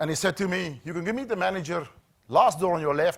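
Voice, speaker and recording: In a South African accent, a man talks at a fairly quick pace with a somewhat breathy voice. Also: very clean recording, silent background. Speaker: safety trainer, former HR manager. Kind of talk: corporate training talk.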